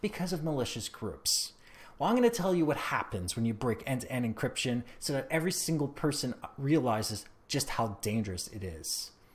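In a very clean recording with a silent background, a man with a Canadian accent talks at a fairly quick pace and a medium pitch. His voice is somewhat breathy, with very wide pitch swings. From Canada. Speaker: tech podcaster. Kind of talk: opinion monologue.

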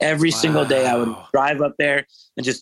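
A man with an American accent talks at a fairly high pitch and a moderate pace, in an ordinary speaking voice. The sound is dry and close, with no echo. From California. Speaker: funk bassist. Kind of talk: casual chat. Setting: video call.

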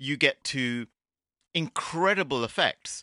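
A man at medium pitch has a bright, sharp tone with vocal fry and very wide pitch swings. The sound is dry and close with no echo, over a quiet background. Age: 50s. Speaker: VR game developer. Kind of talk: interview.

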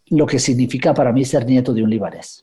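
The voice belongs to a man and sounds somewhat breathy. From Guatemala, raised in the United States. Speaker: writer. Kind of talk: interview. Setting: radio program. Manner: halting, many fillers and repetitions.

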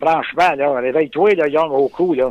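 A man with a Quebec accent speaks at a fairly slow pace with ordinary pitch variation, recorded with a dry, close sound and no echo. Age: 50s. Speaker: sports fan. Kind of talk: interview. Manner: halting.

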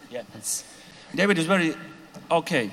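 The voice is a man's. It sits fairly high in pitch. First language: Slovak. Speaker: composer. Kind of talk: panel discussion. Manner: halting.

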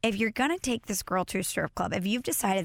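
A woman with an American accent talks with vocal fry and lively intonation on a very clean recording with a silent background. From US Midwest, St. Louis. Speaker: podcast and radio host. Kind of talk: casual chat. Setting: studio.

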